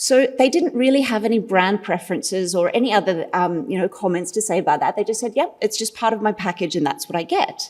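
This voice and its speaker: A woman talks at a very fast pace with lively intonation. Her pitch is fairly high. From Australia. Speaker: marketing consultant, conference speaker. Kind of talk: conference presentation.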